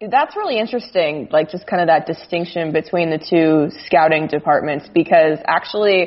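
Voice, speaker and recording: In a normal speaking voice, a woman with an American accent talks at a moderate pace with hardly any pauses. Her pitch is fairly low, with ordinary variation. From Arizona, US (Phoenix). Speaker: sports journalist. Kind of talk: casual chat. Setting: Skype call. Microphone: slightly echoey audio.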